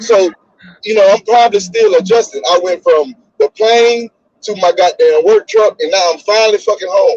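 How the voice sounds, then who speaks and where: A man with a Mississippi accent speaks at a moderate pace in a high voice, his tone animated and his pitch varying in an ordinary way, the sound dry and close with no echo. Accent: Southern US, Mississippi. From Mississippi, US South. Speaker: podcast co-host. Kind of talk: casual chat.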